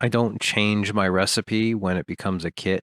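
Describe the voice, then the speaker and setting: With a dry, close sound, no echo and a silent background on a very clean recording, a man speaks with fairly even intonation. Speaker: homebrewer. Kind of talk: presentation voiceover. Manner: dry, monotone.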